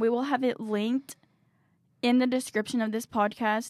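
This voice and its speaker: Talking at a fairly quick pace, a woman with a high voice speaks in a Southern accent. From Tennessee, near Nashville. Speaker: student radio fashion assistant. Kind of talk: casual chat. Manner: animated.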